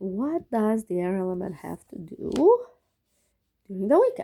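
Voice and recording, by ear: A woman speaks at a fairly slow pace with a medium pitch, a dark, mellow tone and big swings in pitch.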